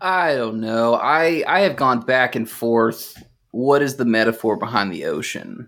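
A man with a normal speaking voice talks at a fairly slow pace, medium in pitch, with lively intonation. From North Texas, Fort Worth area. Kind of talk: casual chat. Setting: online remote recording.

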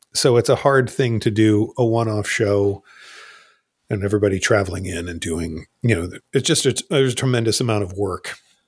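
A man with an American accent, fairly low-pitched and somewhat breathy, at a fairly quick pace on a very clean recording with a silent background. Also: ordinary pitch variation. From New Jersey. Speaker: rock band lead singer. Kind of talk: casual chat.

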